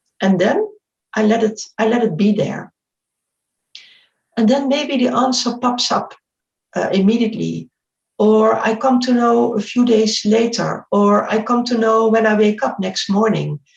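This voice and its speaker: A woman's somewhat breathy voice at a fairly slow pace, with long, frequent pauses, very even loudness and ordinary pitch variation. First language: not English. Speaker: spiritual speaker. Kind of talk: interview. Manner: halting; reflective.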